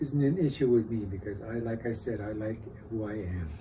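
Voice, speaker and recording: An American accent with ordinary pitch variation and audible room echo. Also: man. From northern Minnesota reservation. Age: 70s. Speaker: war veteran. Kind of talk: interview testimony. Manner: halting.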